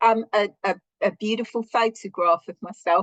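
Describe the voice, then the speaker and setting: Speaking at a fairly slow pace with a British accent, a woman with a fairly high pitch keeps a fairly even intonation, her sound dry and close with no echo. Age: 60s. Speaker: social worker. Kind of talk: interview testimony.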